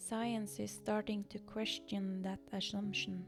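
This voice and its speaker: A woman talks at a very slow pace. Background music accompanies her. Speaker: artist and painter. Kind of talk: reflective video essay narration. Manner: occasionally stumbling over words.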